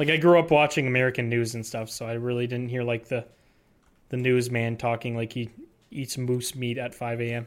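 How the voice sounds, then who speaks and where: Talking at a fairly quick pace, a man with a slight Canadian accent keeps his intonation fairly even. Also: medium pitch for a man. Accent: slight Canadian, mostly on 'ou' words. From Canada, near Detroit (southern Ontario). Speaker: podcast co-host. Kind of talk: casual chat.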